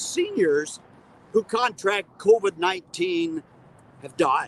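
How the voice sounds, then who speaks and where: A man talks at a fairly slow pace with very wide pitch swings. Noticeable background noise sits under his voice. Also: dry, close sound with no echo. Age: 70s. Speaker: retiree advocacy leader. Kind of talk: memorial speech. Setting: outdoors.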